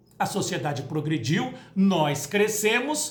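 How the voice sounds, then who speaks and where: A woman talks with a Brazilian accent. Noticeable background noise and audible room echo surround her voice. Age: 60s. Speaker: spiritist lecturer. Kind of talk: spoken talk to camera. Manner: conversational.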